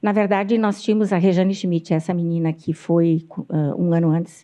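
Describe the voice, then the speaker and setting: Her voice has a dark, mellow tone. The woman keeps a moderate pace against a quiet background. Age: 60s. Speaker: pediatrician. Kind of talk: interview. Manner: halting.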